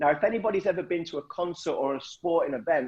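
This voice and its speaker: Animated in tone, a man with an East Midlands accent speaks at a high pitch and a fairly quick pace. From Nottinghamshire, England. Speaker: motivational speaker. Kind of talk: storytelling talk.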